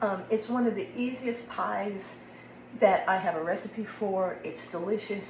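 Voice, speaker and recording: A woman with an American accent, medium pitch and ordinary pitch variation, at a fairly slow pace, with audible room echo and noticeable background noise. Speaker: cooking video host. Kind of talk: cooking tutorial. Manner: casual, chatty.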